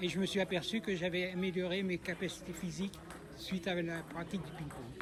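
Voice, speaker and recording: A man's high-pitched, flat, monotone voice at a fairly quick pace, over noticeable background noise. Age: 60s. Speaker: table tennis player with Parkinson's. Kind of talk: interview.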